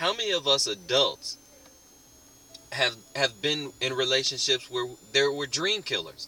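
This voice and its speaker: With noticeable background noise around him, a man speaks fairly slowly. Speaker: online marketing network member. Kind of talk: motivational talk to camera.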